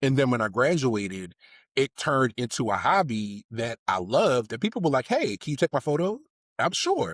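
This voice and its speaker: A man with an American accent and a plain, everyday voice, lively intonation, moderate pace, and a dry, close sound with no echo. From Baltimore, US. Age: 30s. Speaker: civil engineer and podcast co-host. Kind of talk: casual interview chat.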